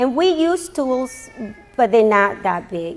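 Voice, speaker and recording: Over noticeable background noise, a woman speaks at a fairly slow pace. Her pitch is high. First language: not English. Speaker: graduating student. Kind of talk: graduation speech. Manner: halting.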